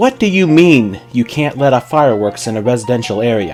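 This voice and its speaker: Music in the background beneath a man's medium pitch, moderate pace and ordinary pitch variation. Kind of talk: fan fiction reading. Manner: no character voices.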